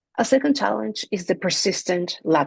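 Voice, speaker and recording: Speaking at a moderate pace in a Spanish accent, a woman shows vocal fry, and the sound is dry and close with no echo. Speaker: NGO director and language rights advocate. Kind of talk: prepared video presentation.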